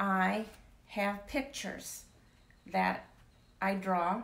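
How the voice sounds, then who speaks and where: A woman's voice sits at a medium pitch and carries vocal fry. Audible room echo surrounds it. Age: 70s. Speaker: author. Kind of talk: interview. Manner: halting.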